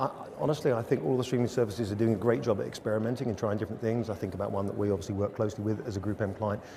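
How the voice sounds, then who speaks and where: A man with an English accent speaks at a very fast pace. His pitch is fairly low. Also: ordinary pitch variation. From England. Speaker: media agency executive. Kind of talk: interview. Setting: studio.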